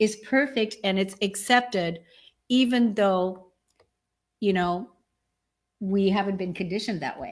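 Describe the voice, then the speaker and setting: A woman speaks at a fairly slow pace with an animated tone, a medium pitch, ordinary pitch variation, and long, frequent pauses. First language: German. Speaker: spiritual show co-host. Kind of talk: casual chat. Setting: live online stream.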